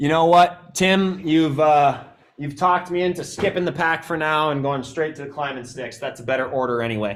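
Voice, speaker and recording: Using an ordinary speaking voice, a man with an American accent talks at a moderate pace with a fairly high pitch and ordinary pitch variation. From Wisconsin, US Midwest. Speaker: bowhunting gear presenter. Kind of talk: live stream gear tutorial. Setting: live stream with camera operator. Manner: casual, many fillers.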